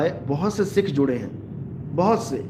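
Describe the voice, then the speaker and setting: The room echo is audible. A man speaks at a fairly slow pace. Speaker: spiritual preacher. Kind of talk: live religious discourse.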